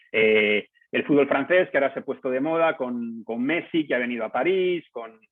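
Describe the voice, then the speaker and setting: With a Castilian accent, a man speaks using lively intonation. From Spain, Palencia. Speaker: journalist, news editor. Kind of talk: lecture. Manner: fast.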